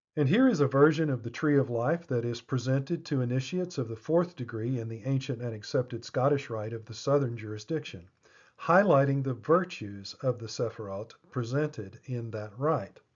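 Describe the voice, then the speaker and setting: Somewhat breathy, a man speaks at a medium pitch and a moderate pace. He shows ordinary pitch variation and leaves hardly any pauses. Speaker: lecturer on esoteric symbolism. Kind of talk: lecture. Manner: measured, explanatory.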